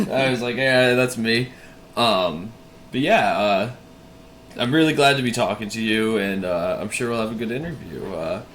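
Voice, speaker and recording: Over noticeable background noise and audible room echo, a man with an American accent speaks at a moderate pace and medium pitch, with ordinary pitch variation. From Massachusetts. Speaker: YouTube interviewer. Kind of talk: interview.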